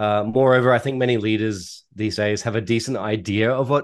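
In an Australian accent, a man speaks at a moderate pace with a fairly low pitch. His pitch varies in an ordinary way, and the background is quiet. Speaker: data analytics executive and consultant. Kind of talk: interview.

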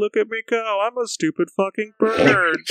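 A man talks at a moderate pace in a put-on character voice. His pitch sits high. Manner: silly.

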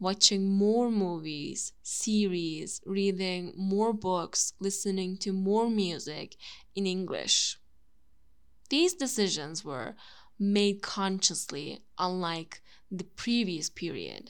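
A woman's medium-pitched voice with a Turkish accent, ordinary pitch variation and a very slow pace, on a very clean recording with a silent background. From Turkey. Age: 20s. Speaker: YouTuber and language content creator. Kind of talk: monologue podcast.

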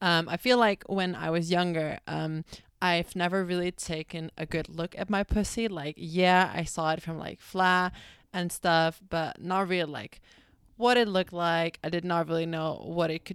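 A woman with a Dutch accent speaks at a moderate pace and a fairly low pitch, in a dry, close sound with no echo on a very clean recording with a silent background. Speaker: podcast host. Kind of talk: casual solo podcast chat. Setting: bathroom, recording on laptop. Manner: casual, chatty, filler-heavy.

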